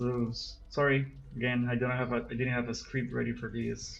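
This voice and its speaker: Music plays in the background with audible room echo. A man speaks at a fairly slow pace. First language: Spanish. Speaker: gaming youtuber. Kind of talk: unscripted gameplay commentary. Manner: halting, many repetitions and fillers. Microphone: recorded with cell phone.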